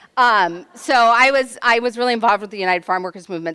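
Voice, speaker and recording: Lively intonation marks this woman's speech, delivered in an American accent. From California, Central Coast. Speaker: sociology professor and activist. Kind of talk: panel talk. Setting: room with live audience, handheld mic. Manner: loud; animated.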